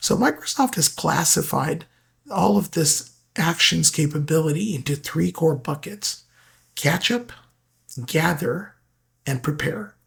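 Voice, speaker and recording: The speech comes at a fairly slow pace with vocal fry and long, frequent pauses. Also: man, fairly high pitch for a man. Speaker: tech presenter. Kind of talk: software tutorial walkthrough.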